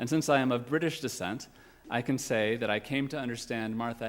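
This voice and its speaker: On a very clean recording with a silent background, there is an unremarkable speaking voice, fairly quick in pace and ordinary in its pitch variation. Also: man. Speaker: guest minister. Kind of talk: sermon.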